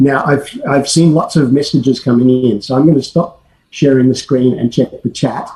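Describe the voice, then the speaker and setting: A somewhat breathy voice with a dark, mellow tone races along at a very fast pace. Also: man. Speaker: academic researcher. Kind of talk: conference presentation.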